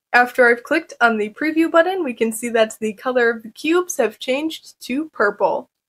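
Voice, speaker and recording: A woman talks with a high pitch and hardly any pauses. The background stays quiet. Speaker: presenter. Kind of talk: tutorial.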